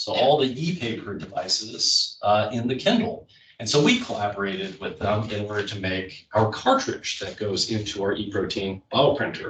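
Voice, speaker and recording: Hardly pausing, a man with an American accent talks at a moderate pace. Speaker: biotech startup founder and CEO. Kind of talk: panel discussion.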